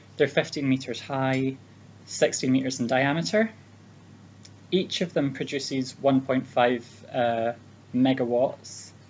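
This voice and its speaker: A man with a Scottish accent speaks at a medium pitch. His pace is fairly slow, with long, frequent pauses. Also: ordinary pitch variation. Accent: Scottish accent, noticeable. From Scotland. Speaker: speech giver for interpreting practice. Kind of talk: prepared speech for interpreter trainees. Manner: hesitant, many fillers.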